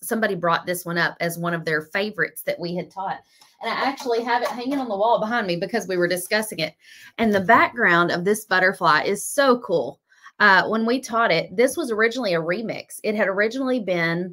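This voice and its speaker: Over a quiet background, a woman speaks at a very fast pace with lively intonation. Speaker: craft painting teacher. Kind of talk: casual livestream chat. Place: studio. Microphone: phone near.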